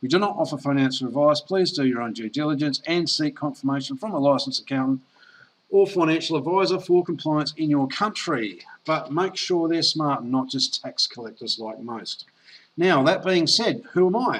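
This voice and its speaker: Lively intonation at a moderate pace. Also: man, fairly high pitch for a man. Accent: Australian. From Australia. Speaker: network marketer. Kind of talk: sales pitch. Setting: online presentation call.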